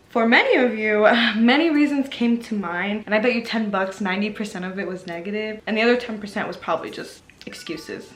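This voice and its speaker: Noticeable background noise sits behind a woman with a fairly high pitch. She talks at a very fast pace with ordinary pitch variation. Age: 20s. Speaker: lifestyle vlogger. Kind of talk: motivational talk to camera. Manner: casual.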